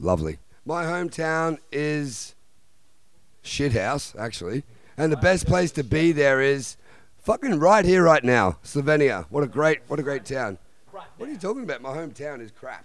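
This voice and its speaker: With an Australian accent, a man speaks at a moderate pace in a fairly high pitch, his animated tone and lively intonation matched by big swings in loudness. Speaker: punk band member. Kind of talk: casual radio interview.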